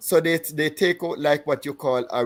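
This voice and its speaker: Here a man talks at a moderate pace with a Jamaican accent and fairly even intonation. The recording is very clean, with a silent background. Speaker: podcast co-host and insurance broker. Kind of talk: casual panel chat. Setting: livestream. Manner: halting, many fillers.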